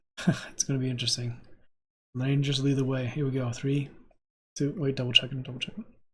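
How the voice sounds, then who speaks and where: Soft-spoken and very fast, a man talks with fairly even intonation, broken by long, frequent pauses. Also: medium pitch for a man. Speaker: reaction video creator. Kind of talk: casual chat. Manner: casual, filler-heavy.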